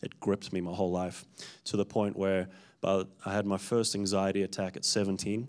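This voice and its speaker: A fairly quick, monotone man's voice, fairly low in pitch, in a South African accent. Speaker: church minister giving testimony. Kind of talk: testimony. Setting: stage with audience at a church.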